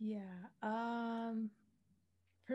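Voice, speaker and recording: A woman with a Canadian accent speaks at a medium pitch. Her tone is dark and mellow and somewhat breathy. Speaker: podcast host. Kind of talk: casual chat.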